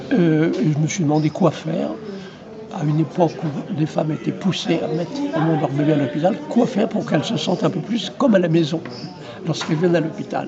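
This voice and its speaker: A man's fairly high-pitched voice with ordinary pitch variation, audible room echo and crowd noise in the background. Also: fairly quick pace. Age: 80s+. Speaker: retired obstetrician. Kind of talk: interview. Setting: trade fair.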